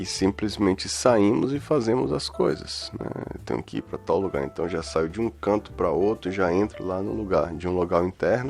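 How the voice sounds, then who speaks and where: Over music in the background, a man with a very deep, low pitch talks at a moderate pace with lively intonation and hardly any pauses. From Bahia, Brazil. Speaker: podcast host. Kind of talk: solo reflective monologue.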